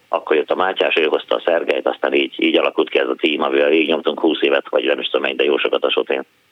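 Talking at a very fast pace with hardly any pauses, a man keeps his loudness very even. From Hungary, Szentes. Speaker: former DJ and pantomime performer. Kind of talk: phone-in chat.

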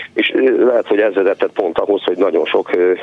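Noticeable background noise runs through the clip. A man talks at a fairly quick pace. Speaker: PE teacher. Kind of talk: radio interview. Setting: phone call.

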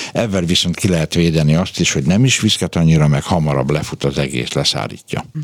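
A man talks at a very fast pace with a very deep, low pitch and ordinary pitch variation. Noticeable background noise is present. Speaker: caller-answering guest, cosmetics expert. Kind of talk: radio Q&A chat. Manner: jocular, humorous.

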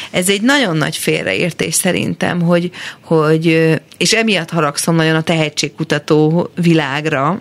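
Fairly slowly, a woman talks in a very deep, low voice with ordinary pitch variation. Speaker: singer-songwriter. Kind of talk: casual interview. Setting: studio.

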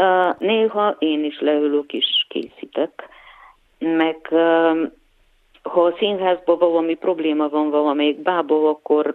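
Very slowly and in a very deep, low pitch, a woman speaks with a Bulgarian accent. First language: Bulgarian (speaking Hungarian). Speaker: puppet and set designer. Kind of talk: interview. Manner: hesitant, many fillers.

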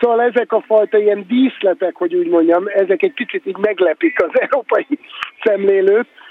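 Noticeable noise fills the background. Over it, a man talks with ordinary pitch variation. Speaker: filmmaker. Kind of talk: radio discussion. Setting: remote line, walking in a street.

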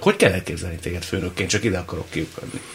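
The intonation is lively. Noticeable background noise sits behind the speech. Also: man. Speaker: radio host. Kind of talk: interview. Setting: studio.

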